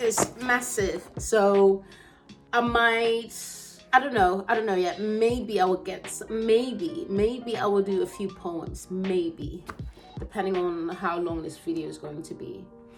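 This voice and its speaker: A woman at medium pitch, at a very slow pace with ordinary pitch variation and big swings in loudness, with music in the background. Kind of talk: casual talk to camera.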